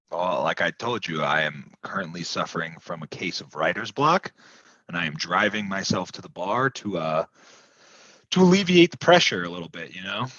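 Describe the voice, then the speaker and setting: Using a put-on character voice, a man speaks raspily at a moderate pace with a very deep, low pitch and big swings in loudness, the sound dry and close with no echo. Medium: solo performance. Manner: sulky, self-pitying.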